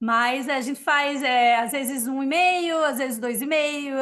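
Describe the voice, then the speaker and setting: A woman with a high pitch talks at a fairly slow pace with ordinary pitch variation. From Brazil, interior of Rio Grande do Norte (sertão). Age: 40s. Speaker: Brazilian expat returned home, innkeeper. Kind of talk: casual interview.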